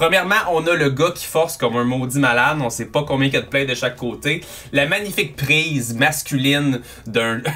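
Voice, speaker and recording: A man speaks at a medium speed, his pitch varying by a normal amount. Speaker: fitness coach youtuber. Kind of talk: commentary. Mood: amused, joking. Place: home room.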